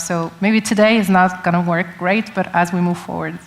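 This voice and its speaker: Noticeable background noise sits behind a woman speaking with monotone, flat intonation. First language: not English. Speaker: tech company representative. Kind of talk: panel discussion.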